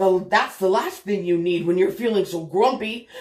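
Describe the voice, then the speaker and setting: The voice is a put-on character voice at a middle pitch. It moves at a moderate pace. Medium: read story. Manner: chatty, meddling.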